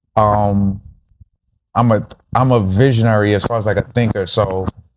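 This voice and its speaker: In a New York accent, a man speaks at a medium pitch with fairly even intonation. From New York City, Harlem. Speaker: rapper and producer. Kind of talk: casual chat.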